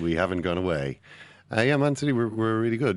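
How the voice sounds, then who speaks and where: This man speaks with an Irish accent. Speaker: football podcast co-host. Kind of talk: casual chat. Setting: studio.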